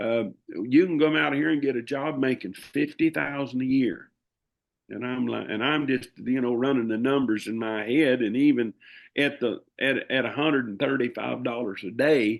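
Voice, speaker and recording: Speaking with a Southern US accent, a man with a medium pitch uses ordinary pitch variation at a moderate pace. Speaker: livestock auctioneer. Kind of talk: interview answer. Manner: casual, rambling.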